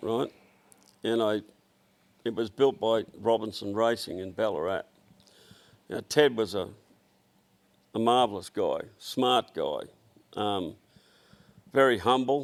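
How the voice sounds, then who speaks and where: With an Australian accent, a man speaks at a medium pitch and fairly slow pace, pausing long and often. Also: ordinary pitch variation. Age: 70s. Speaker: automotive business owner. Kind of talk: casual chat. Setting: workshop shed.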